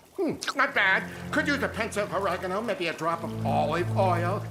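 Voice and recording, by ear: This cartoonish character voice moves at a moderate pace.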